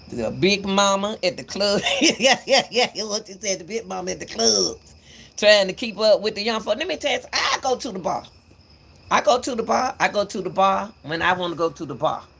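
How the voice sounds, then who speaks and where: A woman with a medium pitch speaks with lively intonation. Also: moderate pace. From Atlanta, Georgia, US South. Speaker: YouTube commentator. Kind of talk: livestream commentary monologue.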